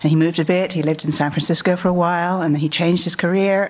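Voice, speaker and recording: A woman with a British accent speaks at a very fast pace and a fairly low pitch. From England. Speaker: conference speaker. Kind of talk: conference talk.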